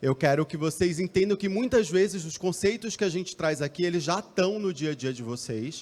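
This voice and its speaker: With a Recife accent, a man speaks at a moderate pace. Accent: northeastern Brazilian (Recife). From Brazil, Recife, Pernambuco. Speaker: marketing executive. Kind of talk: conference talk. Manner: hesitant, many fillers.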